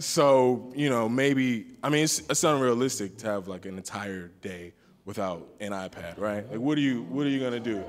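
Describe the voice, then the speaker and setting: A man with a plain, everyday voice speaks at a medium pitch and a moderate pace, using lively intonation and hardly any pauses. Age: 20s. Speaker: community forum participant. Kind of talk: group discussion.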